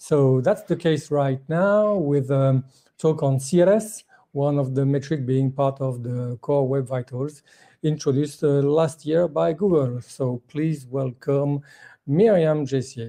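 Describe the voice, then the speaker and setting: Against a quiet backdrop, the words come out very slowly. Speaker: conference moderator. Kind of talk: event moderation and Q&A. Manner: halting, many fillers. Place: home room. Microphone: video call.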